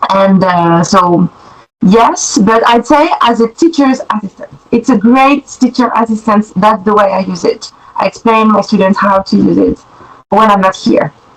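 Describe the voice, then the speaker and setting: Somewhat breathy, a woman speaks at a fairly high pitch with ordinary pitch variation. Her pace is moderate and her loudness very even. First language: French. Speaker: French teacher and test examiner. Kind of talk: podcast interview. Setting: remote call.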